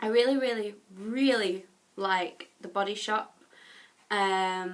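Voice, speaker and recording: With an English accent, a woman speaks in a bright, sharp tone with ordinary pitch variation. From England. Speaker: YouTuber. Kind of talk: casual vlog tag video.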